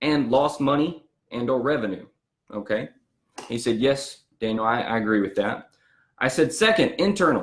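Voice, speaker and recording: With a Southern US accent, a man speaks in an animated tone at a moderate pace. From US South. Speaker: business owner and marketing coach. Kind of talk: storytelling business talk.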